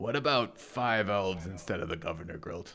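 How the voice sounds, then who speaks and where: A put-on character voice from a man, raspy and fairly low, at a fairly quick pace with ordinary pitch variation. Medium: actual play. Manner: blunt, sarcastic.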